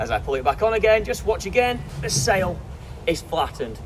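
Amid noticeable background noise, a man talks at a fairly quick pace. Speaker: sailing coach. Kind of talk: tutorial. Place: open country.

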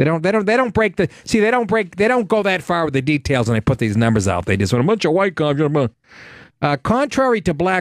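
Recorded dry and close with no echo, a man speaks at a very fast pace. His fairly high voice makes very wide pitch swings. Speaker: comedian and call-in show host. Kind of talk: live call-in talk show. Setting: studio. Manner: animated; profane, brash.

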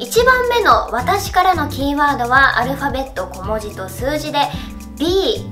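Clear music is audible in the background. Over it, a woman speaks at a moderate tempo. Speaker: voice actress. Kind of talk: anniversary greeting message to fans. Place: studio.

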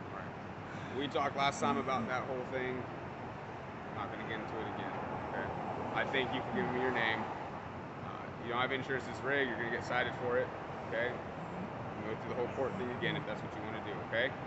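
A man talks at a very fast pace. Loud background noise fills the clip. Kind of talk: traffic stop questioning. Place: street. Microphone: camera far.

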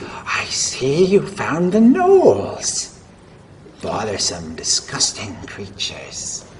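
A man's put-on character voice at a very slow pace. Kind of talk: comic tabletop character voice. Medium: actual play. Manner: haughty, condescending, brisk; curious, enthusiastic about mysteries.

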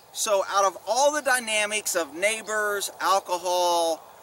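A raised, projected voice with a dry sound and no echo, over light background noise. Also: man. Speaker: former police officer vlogger. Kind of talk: casual vlog commentary. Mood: opinionated, mildly annoyed. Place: open country. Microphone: camera far.

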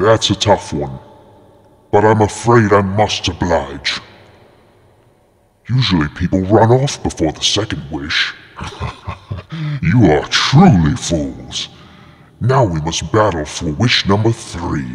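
Using a put-on character voice, a man speaks fairly slowly at a very deep, low pitch with long, frequent pauses. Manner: grandiose, mocking, theatrical.

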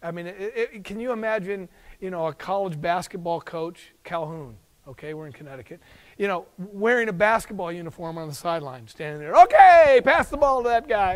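Against a quiet background, a man with an American accent talks at a fairly quick pace in a high pitch, his animated tone carrying lively intonation and big swings in loudness. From US West. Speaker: professor of youth ministry. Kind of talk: lecture. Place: classroom. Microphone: lapel.

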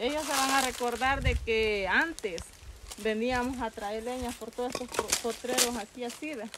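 A woman speaks at a moderate pace, the sound dry with no echo but with noticeable background noise. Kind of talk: casual reminiscing talk. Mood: nostalgic, wistful. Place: open country.

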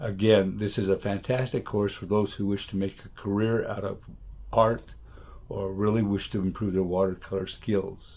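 The delivery is monotone and flat in intonation, moving at a moderate pace. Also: man, fairly low pitch for a man. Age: 70s. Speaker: retired photographer, art student. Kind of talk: testimonial talk to camera. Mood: calm, appreciative. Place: home room. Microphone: webcam.

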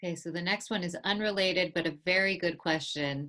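A woman talks with an American accent at a fairly low pitch. The background is quiet. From US. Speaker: museum director and interviewer; interviewer. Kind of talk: interview. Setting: video call. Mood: calm, earnest. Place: home room. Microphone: earbuds.

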